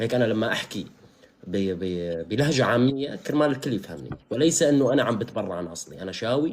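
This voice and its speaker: Moving at a fairly quick pace, a man at medium pitch lets his voice swing very widely. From Syria, Al-Hasakah. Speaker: live streamer. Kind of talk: casual chat.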